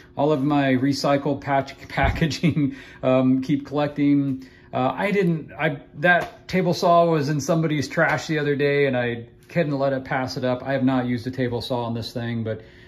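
The man talks with fairly even intonation and keeps a moderate pace. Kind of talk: casual tour commentary. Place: garage. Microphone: phone near.

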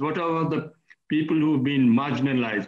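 A man talks at a very fast pace, with audible room echo. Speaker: remote guest. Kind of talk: interview answer. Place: home room. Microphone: video call.

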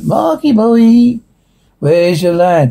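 The pitch of this voice stays in the middle range. It is a put-on character voice. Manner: menacing, taunting.

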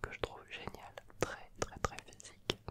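Whispering, the man keeps to a fairly slow pace. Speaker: YouTuber explaining a motorsport activity. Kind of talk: casual vlog chat. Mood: enthusiastic, relaxed. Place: home room. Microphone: handheld.

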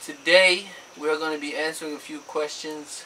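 A man talks at a moderate pace while light background noise hums underneath. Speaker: couple vlogger. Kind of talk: casual vlog chat. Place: home room. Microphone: camera far.

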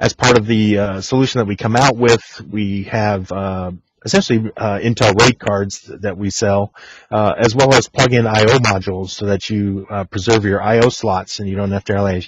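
A man speaks at a moderate pace in a fairly low, somewhat breathy voice with flat, monotone intonation. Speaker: technical marketing engineer. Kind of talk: technical webinar presentation. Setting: video call.

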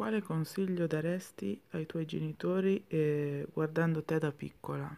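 This woman's voice has a dark, mellow tone and a very deep, low pitch. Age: 30s. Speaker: YouTuber. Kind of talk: casual vlog.

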